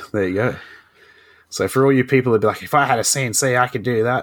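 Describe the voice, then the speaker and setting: A man speaks with an Australian accent. His intonation stays fairly even at a fairly quick pace. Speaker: podcast host. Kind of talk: casual chat. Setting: remote recording.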